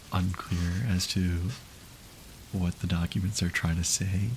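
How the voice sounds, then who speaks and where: A man's very deep, low-pitched, somewhat breathy voice at a fairly slow pace. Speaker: streamer. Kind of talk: casual livestream chat.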